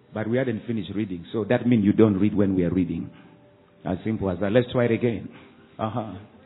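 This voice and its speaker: With music in the background, a man talks at a very fast pace. His fairly low voice has an animated tone. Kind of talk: sermon. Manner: animated, call-and-response preaching with rising exhortation; warm, earnest, teacherly tone.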